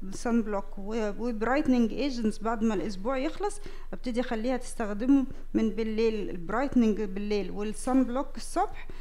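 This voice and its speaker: Speaking at a moderate pace, a woman lets her pitch vary in an ordinary way. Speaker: dermatology professor demonstrating. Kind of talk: lecture. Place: hall. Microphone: headset.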